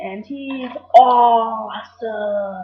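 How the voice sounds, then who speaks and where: A woman speaks in an excited tone at a high pitch. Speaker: wrestling show reviewer.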